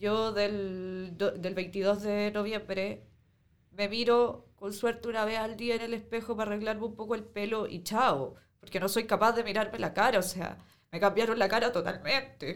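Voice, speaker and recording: In a normal speaking voice, a woman talks at a fairly slow pace and fairly high pitch with fairly even intonation. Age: 20s. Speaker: protest injury victim. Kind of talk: testimony.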